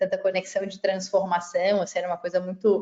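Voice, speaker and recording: With a Florianópolis accent, a woman talks at a fairly quick pace in a medium pitch. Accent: Florianópolis (Santa Catarina). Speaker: civil engineer and tech startup CEO. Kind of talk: webinar panel presentation.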